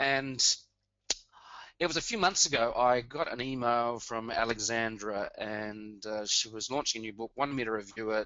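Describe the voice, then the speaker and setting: Fairly even intonation with an Australian accent. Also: man. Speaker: blogger and webinar co-host. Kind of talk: webinar introduction. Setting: webinar.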